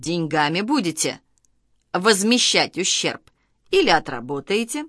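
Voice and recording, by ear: A woman does a put-on character voice at a fairly low pitch, with a fairly bright tone, big pitch swings and a fairly slow pace, on a very clean recording with a silent background.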